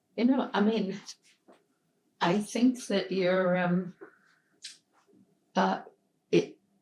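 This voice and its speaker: A woman speaks at a very slow pace with long, frequent pauses. Her voice is somewhat breathy, with ordinary pitch variation. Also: medium pitch for a woman. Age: 90s. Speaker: elder interviewee in documentary. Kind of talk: casual chat.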